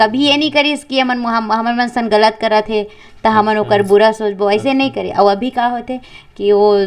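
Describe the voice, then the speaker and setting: A woman talks with a fairly high pitch and fairly even intonation. It is an unremarkable speaking voice. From Chhattisgarh. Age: 20s. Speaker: folk singer and storyteller. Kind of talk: interview answer.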